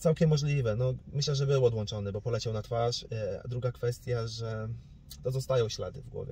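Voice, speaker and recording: A somewhat breathy male voice, dark and mellow in tone, at a fairly quick pace with ordinary pitch variation. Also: medium pitch for a man. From Poland, Suwałki region (north-east). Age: 20s. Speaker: boxer. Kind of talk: interview.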